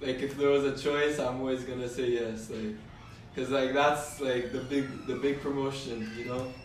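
Amid noticeable background noise and audible room echo, a man speaks at a moderate pace with fairly even intonation and a fairly high pitch. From Canada. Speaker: amateur MMA fighter. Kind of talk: casual interview.

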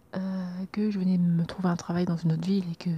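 A woman with a fairly low pitch speaks at a very fast pace in a monotone, flat intonation. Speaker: personal podcaster. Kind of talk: personal diary-style monologue. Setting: at home, leaning out a roof window at night. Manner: hesitant, many fillers.

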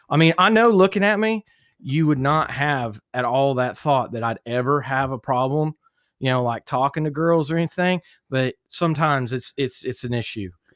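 The sound is dry and close with no echo, the recording is very clean with a silent background, and the moderate-paced speech has lively intonation. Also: man, fairly high pitch for a man. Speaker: podcast guest. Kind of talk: casual chat. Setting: studio. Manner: loud; animated.

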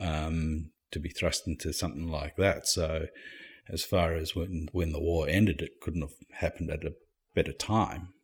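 At a moderate pace, a man talks in a very deep, low, somewhat breathy voice with fairly even intonation. The recording is very clean, with a silent background. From Zimbabwe. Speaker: immigrant interviewee. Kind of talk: casual interview. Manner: conversational, hesitant with fillers.

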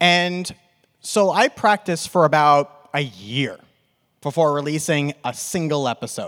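A fairly high-pitched man with a New York accent at a fairly slow pace, ordinary pitch variation, on a very clean recording with a silent background. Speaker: podcast host. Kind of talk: live panel discussion. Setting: stage with audience.

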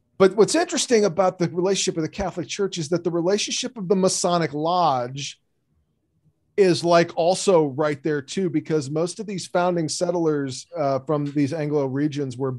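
With an unremarkable speaking voice, a man talks at a moderate pace and a fairly high pitch, his pitch varying in an ordinary way over a quiet background. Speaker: podcast co-host, guest. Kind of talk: casual interview chat.

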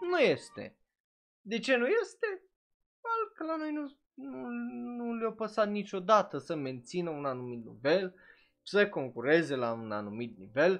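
Speaking at a fairly slow pace, a man with a high pitch makes very wide pitch swings and takes long, frequent pauses. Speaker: anime streamer and podcaster. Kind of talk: live stream commentary. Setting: live stream on Twitch. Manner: casual, filler-heavy (uh).

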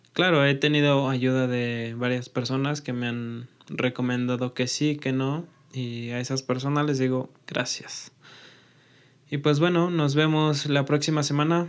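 Here a man uses a normal speaking voice at medium pitch. He talks at a fairly slow pace with fairly even intonation. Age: 20s. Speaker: podcast host and engineering student. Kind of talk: channel introduction monologue.

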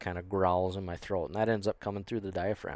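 A man's very deep, low voice with an American accent, monotone and flat in intonation, on a very clean recording with a silent background. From US Midwest, western South Dakota. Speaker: elk hunter and caller. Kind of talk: casual interview chat. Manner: halting, many fillers.

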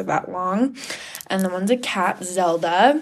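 This woman has an American accent and a normal speaking voice. Her pitch is medium and her pace moderate. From Washington State. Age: young. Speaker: cosmetology student. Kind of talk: casual interview.

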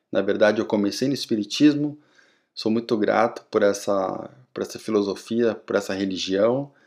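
A man speaks in a normal speaking voice at a moderate pace. His intonation is fairly even, and the recording is very clean with a silent background. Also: fairly low pitch for a man. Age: 30s. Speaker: podcast host. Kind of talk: solo podcast monologue.

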